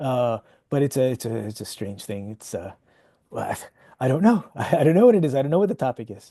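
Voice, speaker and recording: A man with an American accent talks at a fairly quick pace in a dark, mellow tone with lively intonation. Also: medium pitch for a man. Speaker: parody book author. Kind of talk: casual chat. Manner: halting.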